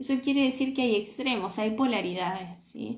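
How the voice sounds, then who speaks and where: With lively intonation, a woman speaks in a fairly high voice. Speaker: self-knowledge coach. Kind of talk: live stream talk. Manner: animated.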